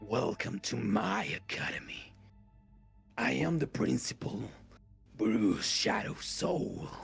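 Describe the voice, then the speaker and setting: Over faint music in the background, a man does a raspy, put-on character voice at fairly low pitch, going fairly slowly with long, frequent pauses. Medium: actual play. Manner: formal, polite.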